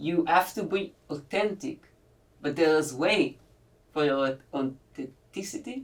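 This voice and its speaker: A woman in an Israeli accent, her pitch very deep and low, her intonation lively. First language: Hebrew. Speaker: podcast host. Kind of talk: podcast interview. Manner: halting.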